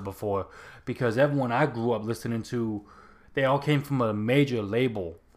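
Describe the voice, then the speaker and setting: A man with a normal speaking voice talks at a moderate pace in a medium pitch with ordinary pitch variation, on a very clean recording with a silent background. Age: 30s. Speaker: podcast host and aspiring minister. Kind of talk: casual solo talk and Bible study.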